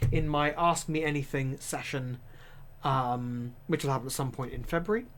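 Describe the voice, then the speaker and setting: The speaker talks at a moderate pace with an East Anglian accent. The recording is very clean, with a silent background. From England, Norfolk. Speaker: streamer and tabletop game master. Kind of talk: live stream chat. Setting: live stream. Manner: casual with many fillers.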